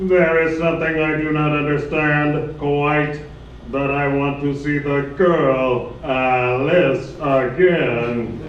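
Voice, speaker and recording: Using a put-on character voice, a man speaks at a very slow pace in a fairly high pitch, with slight echo. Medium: stage play. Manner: stiff, formal, mechanical phrasing.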